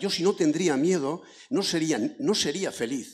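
A man speaks at a fairly slow pace over a quiet background. His pitch swings very widely. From rural Basque Country. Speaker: audience member. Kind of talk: audience question. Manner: halting. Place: hall.

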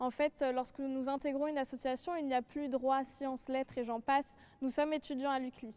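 A woman's high-pitched voice at a fairly quick pace, monotone and flat in intonation. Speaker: law student. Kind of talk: panel presentation. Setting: studio. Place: hall.

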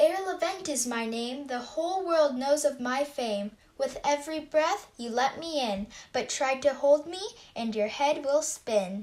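A woman puts on a cartoonish character voice, high in pitch with lively intonation. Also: moderate pace. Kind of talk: rhyming mummers' verse. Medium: puppet show. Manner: airy, riddling, then ailing.

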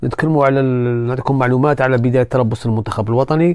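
A man speaks with fairly even intonation at a medium pitch in an unremarkable speaking voice. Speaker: football news youtuber. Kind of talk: casual sports commentary monologue.

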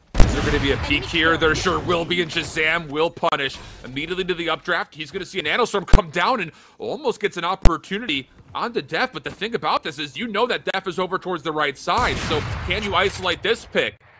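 Over music in the background, a man with a high pitch talks at a very fast pace in an excited, animated tone, his pitch varying in an ordinary way. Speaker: esports commentator. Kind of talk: live esports commentary, play-by-play of a Valorant match. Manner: fast, fluent play-by-play delivery, rising and falling with the action; excited, animated in key moments, mostly measured and analytical.

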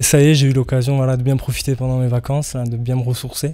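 A man's dark, mellow voice at a very fast pace, monotone and flat, over a quiet background. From Bordeaux, southwest France. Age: 20s. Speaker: rugby player. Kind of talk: interview. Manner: halting, many fillers and repetitions. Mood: cheerful, eager. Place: home room. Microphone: handheld.

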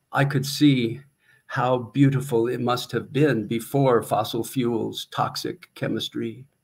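Very slowly, a man with an American accent speaks at a medium pitch in a somewhat breathy voice. His intonation is monotone and flat. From US Midwest, small-town Iowa. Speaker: retired teacher and poet with Parkinson's; guest. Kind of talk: poetry reading, a free-verse river poem performed aloud in numbered sections. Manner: slow, measured and reflective, with deliberate pauses between images; hesitant, with repeated words and restarts. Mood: reflective, measured. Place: home room. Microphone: webcam.

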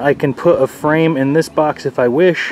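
A man talks with fairly even intonation. The sound is dry with no echo, and there is light background noise. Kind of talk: tutorial. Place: garden. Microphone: phone near.

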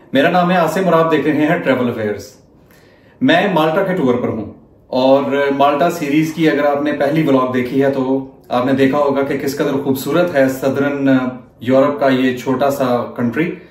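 Fairly slow speech from a man, fairly even in intonation, with audible room echo. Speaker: travel vlogger. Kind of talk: casual vlog intro. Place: home room. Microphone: phone near.

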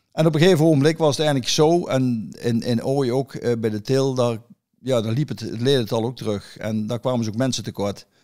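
Talking at a fairly quick pace, a man with a dark, mellow tone holds a medium pitch with ordinary variation. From Netherlands, Erlecom (Gelderland). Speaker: pigeon fancier. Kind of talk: casual chat. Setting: at his own home. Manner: halting.

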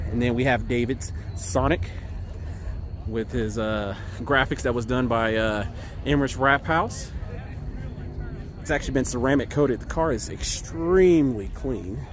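Against noticeable background noise but with a dry sound and no echo, a man speaks at a fairly slow pace with lively intonation and long, frequent pauses. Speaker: car team host. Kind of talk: casual vlog chat. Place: street. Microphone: phone near.

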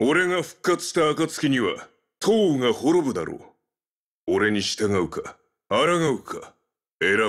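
A man does a put-on character voice, fairly high in pitch for a man. He talks at a fairly slow pace with long, frequent pauses. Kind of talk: video game character voice lines. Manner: menacing, domineering.

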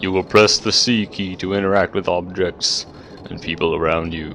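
Over clear background noise, a put-on character voice speaks at a moderate pace. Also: man, very deep, low pitch for a man. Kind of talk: instructional, tutorial narration. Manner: mysterious.

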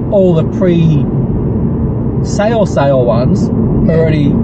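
Speech moves at a fairly slow pace over loud background noise. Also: man. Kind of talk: casual chat with passenger. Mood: relaxed, mildly disappointed. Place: car. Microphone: camera far.

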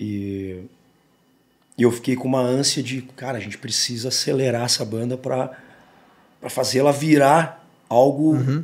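A moderate pace with ordinary pitch variation. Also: man. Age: 40s. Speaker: rock singer; guest. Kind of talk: casual interview. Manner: halting, many repetitions. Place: studio. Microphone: studio mic.

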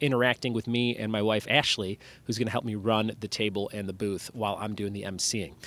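The sound is dry and free of echo. A man speaks at a moderate speed. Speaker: podcast host. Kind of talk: podcast intro chat. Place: street. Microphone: studio mic.

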